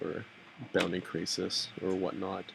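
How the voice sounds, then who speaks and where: A man's fairly low pitch carries over noticeable background noise. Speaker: card game commentator. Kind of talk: live commentary. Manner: loud.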